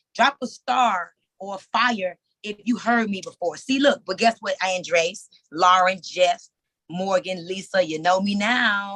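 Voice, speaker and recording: A woman talks at a fairly slow pace in a medium pitch, her tone animated, bright and sharp, with ordinary pitch variation. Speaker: motivational speaker and entrepreneur. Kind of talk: live webinar talk. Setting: Zoom video call. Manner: casual, plain-spoken.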